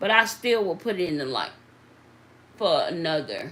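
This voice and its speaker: A woman with a Southern US accent talks at a fairly slow pace. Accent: Southern drawl. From US South. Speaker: nail technician. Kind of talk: live tutorial. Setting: livestream. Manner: conversational, interactive.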